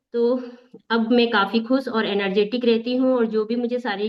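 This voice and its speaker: This is a woman with a normal speaking voice. Her pitch is fairly high and her intonation fairly even. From Bastar, Chhattisgarh, India. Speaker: workout leader and member. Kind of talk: testimony.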